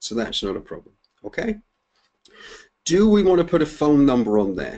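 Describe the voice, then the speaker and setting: Swinging very widely in pitch, a man speaks in a fairly high register with a dark, mellow tone. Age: 50s. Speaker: webinar presenter on online marketing. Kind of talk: webinar tutorial. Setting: online webinar with screen share. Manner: fast.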